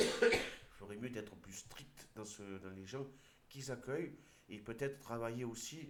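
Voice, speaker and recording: A man talks at a moderate pace and medium pitch with ordinary pitch variation and an Aude accent, and audible room echo can be heard. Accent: southern French (Aude). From southern France, Aude. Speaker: video commentator. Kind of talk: commentary with reading aloud. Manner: halting, with hesitations.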